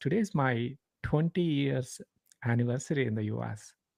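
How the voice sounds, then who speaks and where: A man talks at a moderate pace in a medium pitch with ordinary pitch variation and a Telugu accent. His tone is dark and mellow, and the sound is dry and close with no echo. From India. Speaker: leadership coach. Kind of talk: interview.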